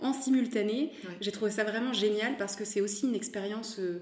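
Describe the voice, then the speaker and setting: Noticeable background noise and audible room echo fill the recording. A woman speaks fairly quickly at a fairly high pitch with ordinary pitch variation. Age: 30s. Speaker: fashion brand founder. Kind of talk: interview. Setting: recorded at the guest's home.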